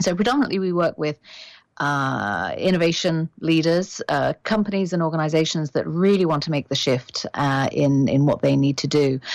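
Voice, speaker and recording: A woman speaks with a British accent in a very deep, low pitch. She keeps a moderate pace and ordinary pitch variation. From Britain. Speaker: executive headhunter and coach. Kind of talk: interview.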